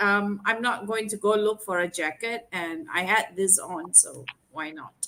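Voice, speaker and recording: Her pitch is fairly high for a woman, with ordinary variation, in a normal speaking voice. She talks at a fairly slow pace with hardly any pauses. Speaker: sales executive. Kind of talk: casual chat. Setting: video call.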